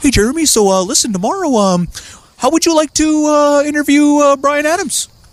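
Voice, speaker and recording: In a put-on character voice, a man talks at a fairly quick pace with an extremely high pitch. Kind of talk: casual, hesitant, full of fillers.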